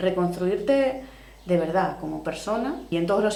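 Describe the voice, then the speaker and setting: A woman speaks at a fairly slow pace with a fairly low pitch. Noticeable background noise and audible room echo are present. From Argentina. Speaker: social worker. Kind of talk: podcast interview.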